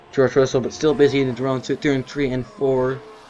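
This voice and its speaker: A man at medium pitch, fairly quick and fairly even in intonation, with music in the background. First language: not English. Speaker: gaming YouTuber. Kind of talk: gameplay commentary. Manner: halting.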